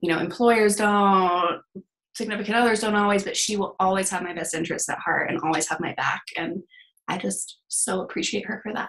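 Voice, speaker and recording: A woman with a plain, everyday voice and a General American accent speaks at a fairly quick pace, medium in pitch with ordinary pitch variation. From US, Denver, Colorado. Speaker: therapist. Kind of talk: casual interview chat.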